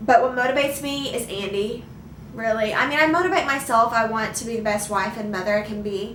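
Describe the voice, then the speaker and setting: This woman has an American accent and a fairly high pitch. Audible room echo and noticeable background noise surround her voice. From Arkansas, US South. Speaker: vlogger. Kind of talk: casual Q&A chat. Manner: halting, many restarts.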